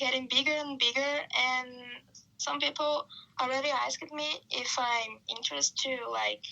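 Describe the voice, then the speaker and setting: A woman with a Brazilian accent. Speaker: marketing worker and photographer. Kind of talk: podcast interview.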